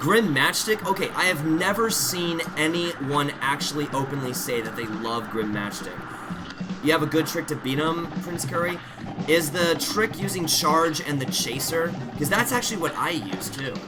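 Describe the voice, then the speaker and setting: Lively intonation marks a man's fairly high pitch. Audible room echo and noticeable background noise surround him. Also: moderate pace. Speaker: video game streamer. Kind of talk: live gameplay commentary. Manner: loud; animated.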